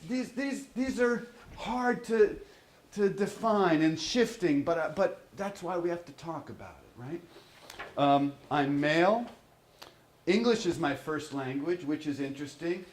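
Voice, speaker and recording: A high-pitched man with an American accent, fairly slow, with big swings in loudness and audible room echo. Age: 60s. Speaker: professor. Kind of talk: lecture.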